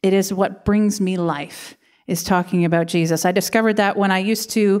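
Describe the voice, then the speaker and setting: A woman speaks at a fairly quick pace, her intonation fairly even, with a quiet background behind her. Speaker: pastor. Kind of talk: sermon. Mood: warm, light laughter. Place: church. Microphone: handheld.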